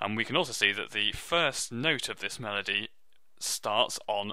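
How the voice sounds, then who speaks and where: A man with a British accent and a bright, sharp tone is heard in a very clean recording with a silent background. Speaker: music teacher. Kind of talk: tutorial.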